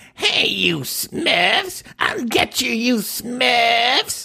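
In a put-on character voice, the speaker talks at a fairly high pitch and a very slow pace. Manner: menacing, scheming.

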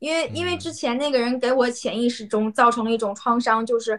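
A woman talks at a fairly quick pace with a fairly high pitch. She has a normal speaking voice. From Yanbian, Jilin, Northeast China. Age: young. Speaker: Chinese teacher. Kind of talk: casual chat.

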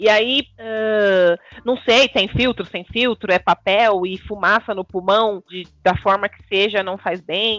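Speaking at a very slow pace with hardly any pauses, a woman uses fairly even intonation while her loudness swings widely. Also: medium pitch for a woman. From Brazil, urban periphery. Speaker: podcast co-host. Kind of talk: casual chat.

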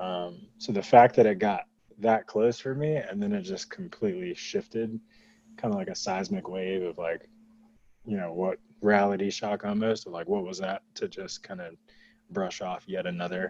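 A man's dark, mellow voice with an American accent, fairly low in pitch with ordinary variation, at a moderate pace. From North Carolina. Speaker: tech professional discussing policy proposal. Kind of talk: podcast interview. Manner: measured, explanatory.

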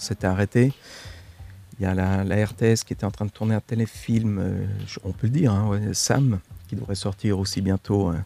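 Music plays in the background as a man talks at a moderate pace, his pitch fairly low and his intonation fairly even. Long, frequent pauses break up his speech, and the sound is dry and close with no echo. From Switzerland, Italian family. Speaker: actor. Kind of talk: casual interview chat. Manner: halting, repeats words.

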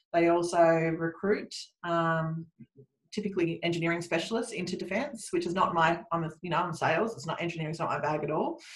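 A woman with an Australian accent talks at a fairly quick pace. Her pitch is fairly low, with ordinary variation. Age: 40s. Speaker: recruitment business owner. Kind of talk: interview.

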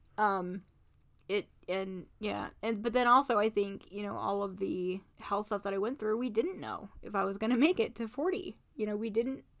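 A woman speaks in a plain, everyday voice at a medium pitch and moderate pace. Her pitch variation is ordinary. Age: 30s. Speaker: podcast co-host. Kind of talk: casual chat.

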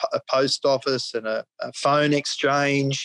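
A man with an Australian accent is heard over a quiet background. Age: 50s. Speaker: cattle farmer. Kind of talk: interview.

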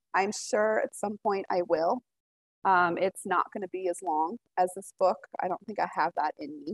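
In a dry, close sound with no echo, a woman with an American accent speaks at a moderate pace and medium pitch with ordinary pitch variation. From Colorado, US. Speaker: author. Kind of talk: interview. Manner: hesitant, many fillers.

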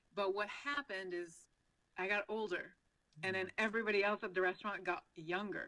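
A woman with a French Canadian accent speaks at a fairly quick pace, her medium-pitched voice bright and sharp in tone, with ordinary pitch variation. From Quebec, Canada. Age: 40s. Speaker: financial advisor. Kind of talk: interview.

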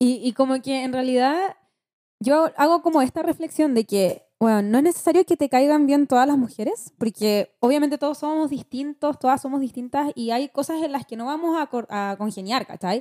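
In a Chilean accent, a woman speaks at a high pitch with a dark, mellow tone, ordinary pitch variation, and a moderate pace, in a dry, close sound with no echo. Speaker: podcast host and schoolteacher. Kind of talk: podcast interview, casual chat.

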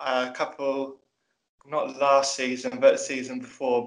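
A man with a British accent and monotone, flat intonation. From UK. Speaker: guest, Chelsea fan. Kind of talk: casual podcast chat.

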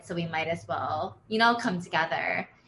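Over noticeable background noise, a woman with an American accent talks at a fairly quick pace. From Pennsylvania, US. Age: 20s. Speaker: environmental nonprofit coordinator. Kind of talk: interview.

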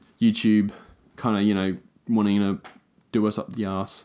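In a very clean recording with a silent background, a man with an Australian accent talks at a moderate pace, his fairly low voice dark and mellow and his intonation fairly even. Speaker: podcast co-host. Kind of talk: casual chat.

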